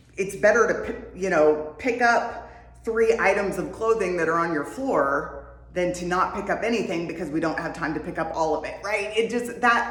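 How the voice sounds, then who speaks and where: A voice whose pitch rises and falls in an ordinary way comes through clear background noise and a noticeable room echo. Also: woman. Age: 50s. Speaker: wellness vlogger. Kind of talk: casual talk to camera. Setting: home workout space. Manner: conversational, with many fillers.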